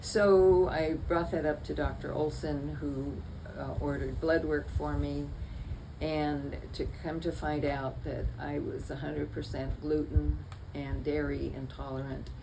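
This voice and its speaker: A woman talks at a fairly slow pace. Room echo is audible around her voice. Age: 80s+. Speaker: patient. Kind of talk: testimony. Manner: halting.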